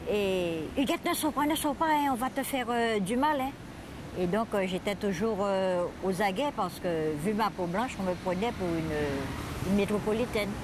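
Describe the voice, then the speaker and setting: This woman talks at a fairly slow pace and a medium pitch, with very wide pitch swings. Her loudness stays very even. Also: hardly any pauses. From Guadeloupe, Marie-Galante. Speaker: interviewee recounting her life. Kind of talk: life story interview. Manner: hesitant.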